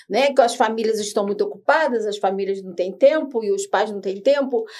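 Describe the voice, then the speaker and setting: A woman's fairly high voice at a fairly quick pace, with ordinary pitch variation and big swings in loudness. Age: 60s. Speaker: podcast host. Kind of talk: panel discussion. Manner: halting.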